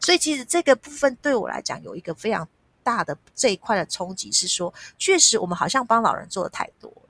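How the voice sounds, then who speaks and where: With very wide pitch swings and big swings in loudness, a woman speaks at a fairly high pitch and a fairly quick pace, in a dry, close sound with no echo. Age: 50s. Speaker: nonprofit foundation executive director. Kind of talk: interview.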